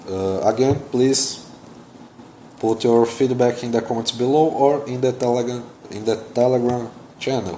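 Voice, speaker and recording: A man with a non-native accent and a medium pitch, long, frequent pauses, and noticeable background noise. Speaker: security researcher YouTuber. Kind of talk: technical explainer video. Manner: hesitant, many fillers.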